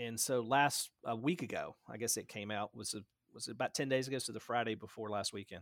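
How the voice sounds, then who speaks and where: A man with a Tennessee accent speaks at a fairly quick pace, the sound dry and close with no echo. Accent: Southern US (Tennessee), noticeable. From West Tennessee, US South. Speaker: town administrator, Navy veteran. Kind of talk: casual interview. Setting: video call.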